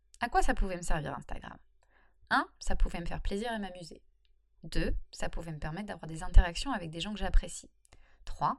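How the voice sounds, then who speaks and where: A woman talks fairly quickly with lively intonation. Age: 30s. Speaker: freelancer and blogger. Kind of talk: solo podcast monologue. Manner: casual, hesitant with fillers.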